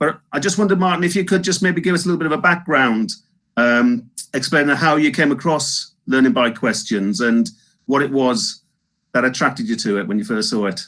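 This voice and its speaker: A man with a Northeast England accent, a fairly high pitch and very wide pitch swings, at a fairly quick pace against a quiet background. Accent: Northeast England, slips back in. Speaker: webinar host. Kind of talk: live webinar interview. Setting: live webinar.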